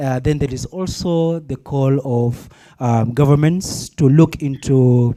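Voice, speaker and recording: A man's dark, mellow voice sits at a medium pitch and varies in an ordinary way. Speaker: youth workshop participant. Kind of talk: panel discussion comment. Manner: halting.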